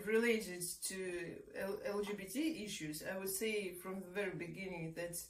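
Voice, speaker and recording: With audible room echo, a woman talks with ordinary pitch variation. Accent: Russian. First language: Russian. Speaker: researcher and activist. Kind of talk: interview. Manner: hesitant, many fillers.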